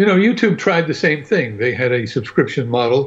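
A somewhat breathy voice at a moderate pace. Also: man. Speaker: panelist. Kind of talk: casual panel discussion.

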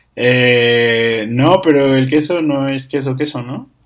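A man speaks at a very slow pace. His pitch sits in the medium range, with ordinary pitch variation. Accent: Mexican. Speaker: podcast guest, host's cousin. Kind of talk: casual chat. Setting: home-made studio.

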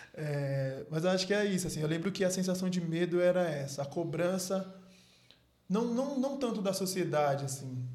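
A man's high-pitched voice with lively intonation, a moderate pace and audible room echo. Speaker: podcast host. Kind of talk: casual chat.

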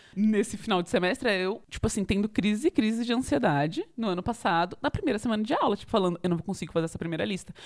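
A woman's medium-pitched voice, very fast and lively, with hardly any pauses. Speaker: podcast co-host, math student. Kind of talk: casual chat.

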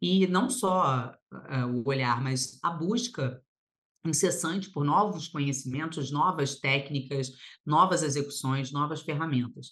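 With a very deep, low pitch, a woman talks at a fairly slow pace using lively intonation. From Paraná, Brazil (born in Rio de Janeiro). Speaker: lawyer and mentor. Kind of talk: podcast interview.

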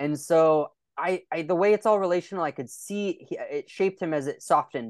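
With a Californian accent, a man speaks at a moderate pace with ordinary pitch variation, the sound dry and close with no echo against a quiet background. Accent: Californian American English. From California (Lodi). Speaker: documentary filmmaker and pastor. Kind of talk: interview.

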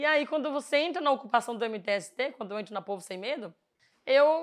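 At a moderate pace, a woman with an unremarkable speaking voice is heard in a very clean recording with a silent background. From Pernambuco, Brazil (Northeast). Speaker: housing movement activist. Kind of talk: casual monologue to camera.

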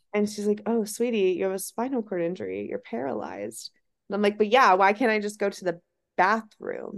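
This is an ordinary speaking voice with an American accent. It moves at a fairly quick pace with ordinary pitch variation. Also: woman, medium pitch for a woman. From Ohio. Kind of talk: interview.

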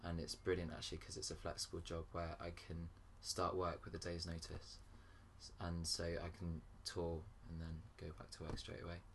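A man's very deep, low voice, monotone and flat, at a moderate pace with audible room echo. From grew up in Paris, English parents. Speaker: singer-songwriter. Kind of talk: casual interview. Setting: in a friend's flat.

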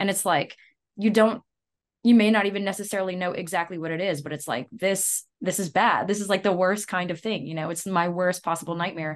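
A woman talks at a fairly quick pace over a quiet background. Hers is a plain, everyday voice at medium pitch, with fairly even intonation. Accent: American. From US South, Louisiana. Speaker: metal band vocalist. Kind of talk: casual interview chat.

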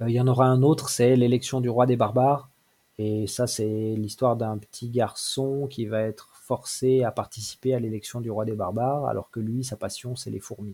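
This man's voice carries a dark, mellow tone. The intonation holds fairly even. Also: medium pitch for a man, moderate pace. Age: 40s. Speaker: manga author and small publisher. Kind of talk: interview. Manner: halting.

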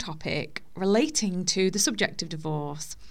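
A woman with a normal speaking voice, medium pitch and moderate pace, on a very clean recording with a silent background. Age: 30s. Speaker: podcast host sharing divorce experience. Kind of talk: personal monologue. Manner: informal, conversational.

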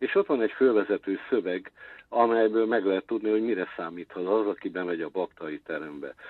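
Fairly quick speech from a man, fairly low in pitch, with ordinary pitch variation. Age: 60s. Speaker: intermedia artist. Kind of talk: interview. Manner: halting.

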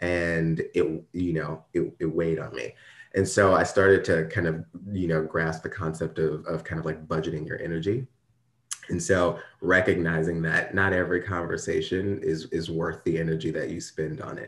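The speaker talks at a moderate pace with an American accent, in a monotone, flat intonation. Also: man, very deep, low pitch for a man. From US Midwest, Ferguson, Missouri. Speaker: diversity and workplace ethics consultant. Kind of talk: interview.

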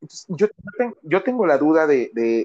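A man with a Mexican accent, fairly high in pitch, talking fairly quickly with very wide pitch swings. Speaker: podcast co-host. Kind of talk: casual chat.

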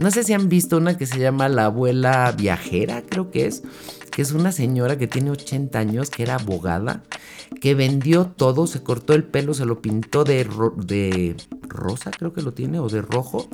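With noticeable background noise, a woman in a Mexican accent speaks at a moderate pace in a warm tone, her very deep, low pitch making very wide swings. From Mexico. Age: 60s. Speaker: podcast host, self-help speaker. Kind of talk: motivational solo podcast. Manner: warm, conversational.

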